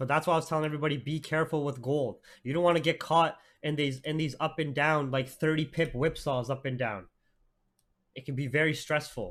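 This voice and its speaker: The recording is very clean, with a silent background. A man with a Canadian accent speaks in an animated tone. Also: fairly high pitch for a man, fairly quick pace. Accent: Canadian English; denies an Indian. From Canada, Toronto area (Oakville). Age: 20s. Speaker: forex trader and trading streamer. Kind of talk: live trading stream analysis. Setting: live stream. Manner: casual, animated.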